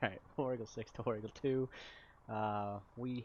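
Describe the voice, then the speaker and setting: A man at a moderate pace, with monotone, flat intonation. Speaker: gaming platoon leader. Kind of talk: military roleplay radio comms. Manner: loud; halting with many fillers.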